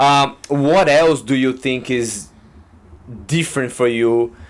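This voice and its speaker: A man with a Brazilian accent speaks at a fairly high pitch. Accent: Brazilian Portuguese accent, moderate. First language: Portuguese. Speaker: podcast host. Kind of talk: casual chat.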